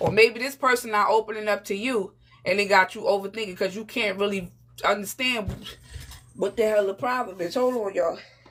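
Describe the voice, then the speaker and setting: Fairly quick and fairly even in intonation, a woman speaks at a fairly high pitch over noticeable background noise. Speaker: tarot reader. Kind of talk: live tarot reading. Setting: livestream. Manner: casual, conversational.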